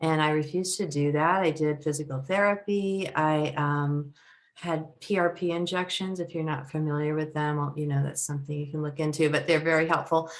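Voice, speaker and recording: An American accent marks this woman's very deep, low voice. She speaks at a fairly quick pace with fairly even intonation and hardly any pauses. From US West Coast, San Francisco Bay Area. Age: 60s. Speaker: company founder. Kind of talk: interview.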